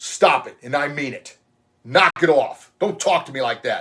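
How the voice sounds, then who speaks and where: Growling through a put-on character voice, a man speaks at a moderate pace and a fairly high pitch, with big swings in loudness. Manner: firm, assertive, commanding.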